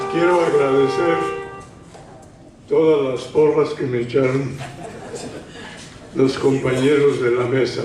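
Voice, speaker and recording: A man's fairly high-pitched voice at a very slow pace, with fairly even intonation, audible room echo and noticeable background noise. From Mexico, Guadalajara, Jalisco. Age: 80s+. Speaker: retired painter, historian speaker. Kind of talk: panel talk.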